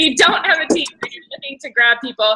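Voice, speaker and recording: The pitch swings very widely. Noticeable background noise is present throughout. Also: woman. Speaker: team leader hosting a coaching call. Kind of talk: team conference call.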